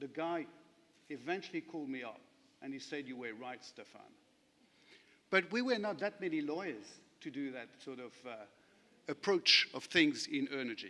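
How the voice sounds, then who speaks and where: A man with a French accent speaks at a moderate pace in a fairly high pitch, his tone bright and sharp and his intonation lively. He takes long, frequent pauses, and his loudness swings widely. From France. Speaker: lawyer. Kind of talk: conference panel talk. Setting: conference session with audience.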